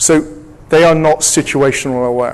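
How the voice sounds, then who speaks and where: With an English accent, a man talks at a fairly high pitch with ordinary pitch variation. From England. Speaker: security technology executive and speaker. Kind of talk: conference presentation. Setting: stage with audience. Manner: interactive, engaging audience.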